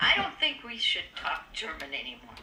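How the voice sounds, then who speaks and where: A woman with an American accent has a bright, sharp tone. She speaks at a fairly slow pace. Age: 80s+. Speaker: elderly community member. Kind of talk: oral history interview.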